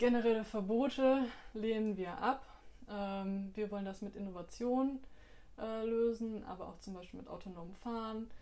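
A woman with a fairly high voice speaks at a fairly slow pace and with fairly even intonation. Audible echo fills the room. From Bielefeld, Germany. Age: 20s. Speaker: parliamentary candidate. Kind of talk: interview answers on party platform. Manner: formal.

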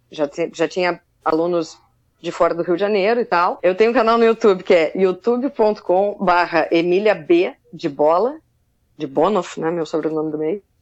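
A woman in a plain, everyday voice, fairly low in pitch, at a moderate pace with ordinary pitch variation. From Southern Brazil, Pelotas, Rio Grande do Sul. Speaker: musician, drummer. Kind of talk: casual interview chat.

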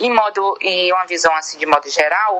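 A woman talks at a fairly slow pace with ordinary pitch variation. Noticeable background noise sits behind her. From Maranhão, Brazil (Bacabal). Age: 20s. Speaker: activist. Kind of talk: recorded interview answer.

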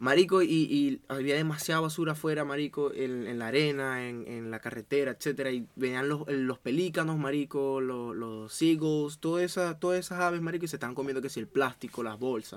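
Speaking fairly quickly with hardly any pauses, a man with a Venezuelan accent uses a fairly high pitch and ordinary pitch variation. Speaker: podcast co-host and producer. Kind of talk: casual chat.

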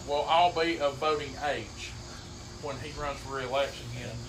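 With an Appalachian accent, a man speaks at a moderate pace in a fairly high pitch with ordinary pitch variation. Audible room echo and noticeable background noise are present. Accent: Appalachian Kentucky. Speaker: sports podcast co-host. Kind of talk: casual chat.

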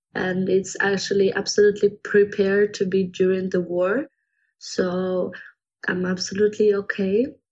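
The speaker has a Ukrainian accent and talks at a moderate pace. The intonation is monotone and flat. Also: woman, medium pitch for a woman. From Kyiv, Ukraine. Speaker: Ukrainian student and volunteer. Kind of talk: interview answers. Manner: halting, repeats words.

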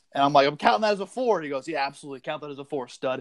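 A man with an American accent, fairly high pitch, and lively intonation, in a dry, close sound with no echo. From Massachusetts, Needham. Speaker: podcast co-host. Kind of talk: casual chat.

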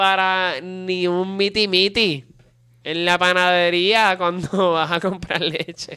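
In a Puerto Rican accent, a man uses a raised, projected voice with a high pitch and a bright, sharp tone, speaking very slowly in a monotone, flat intonation. The recording is very clean, with a silent background. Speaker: podcast co-host. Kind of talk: casual chat.

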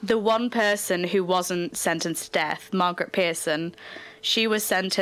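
Here a natural reading voice is used.

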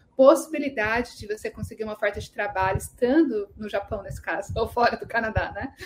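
A woman's unremarkable speaking voice, fairly high in pitch, at a fairly quick pace with ordinary pitch variation. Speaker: immigration consultant. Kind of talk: live Q&A stream.

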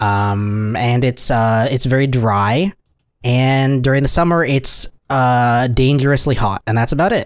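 A man's normal speaking voice, medium in pitch, with very even loudness, ordinary pitch variation and a fairly slow pace. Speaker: podcast host. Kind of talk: casual chat.

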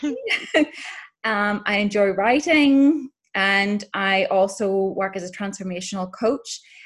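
Very slow and somewhat breathy, the voice moves through ordinary pitch variation. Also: woman, medium pitch for a woman. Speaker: writer and transformational coach. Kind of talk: podcast interview.

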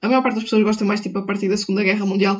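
The voice is somewhat breathy, with a European Portuguese accent. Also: woman. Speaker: podcaster. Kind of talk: casual monologue. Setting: at home. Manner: animated.

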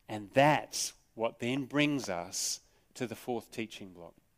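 A man with an Australian accent talks at a fairly slow pace, his medium pitch showing ordinary pitch variation. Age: 50s. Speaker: pastor. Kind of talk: sermon. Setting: church.

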